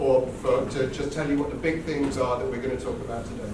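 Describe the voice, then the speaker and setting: Over noticeable background noise and audible room echo, a man talks in a fairly high pitch. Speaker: tech company director. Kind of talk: conference talk. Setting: hackathon event with live audience.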